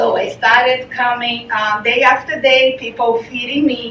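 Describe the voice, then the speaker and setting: A woman's high voice in a Portuguese accent, monotone and flat, at a moderate pace with noticeable background noise. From Brazil. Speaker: charity founder. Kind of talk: presentation. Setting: meeting presentation. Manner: halting.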